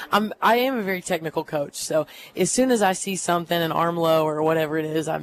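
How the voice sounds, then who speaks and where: A woman's fairly low voice at a fairly quick pace, with ordinary pitch variation and music in the background. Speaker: high school volleyball coach. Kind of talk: radio interview. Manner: loud.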